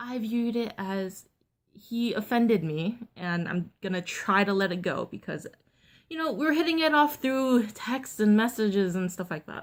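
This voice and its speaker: This normal speaking voice has lively intonation and a moderate pace, captured in a very clean recording with a silent background. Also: woman, fairly high pitch for a woman. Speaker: vlogger. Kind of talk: storytime vlog. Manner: casual, filler-heavy.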